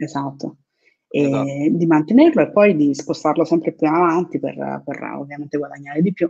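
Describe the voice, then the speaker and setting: A woman's very deep, low voice with a dark, mellow tone, vocal fry, fairly even intonation and a moderate pace. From Naples, southern Italy. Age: 30s. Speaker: affiliate marketer, course student. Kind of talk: interview.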